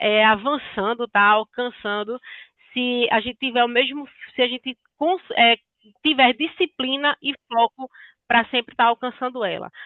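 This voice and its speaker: Using ordinary pitch variation, a woman speaks at a high pitch and a fairly slow pace. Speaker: sales consultant. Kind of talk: business training talk.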